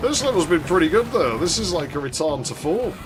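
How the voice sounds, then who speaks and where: Speaking at a fairly quick pace with very wide swings in pitch, the voice carries audible room echo over music playing in the background. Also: man. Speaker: game streamer. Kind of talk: live gameplay commentary. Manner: casual, conversational.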